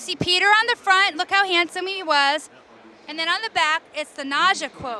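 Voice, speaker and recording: A woman with an extremely high pitch speaks in a raised, projected voice at a moderate pace, her tone animated, her loudness swinging widely and her pitch varying ordinarily. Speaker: activist. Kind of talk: interview. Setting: expo floor.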